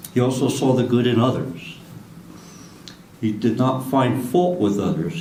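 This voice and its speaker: A man with an American accent, medium-pitched and moderately paced, amid audible room echo and noticeable background noise. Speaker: career firefighter. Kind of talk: memorial speech, partly read from notes. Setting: memorial ceremony with audience. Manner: halting, with stutters.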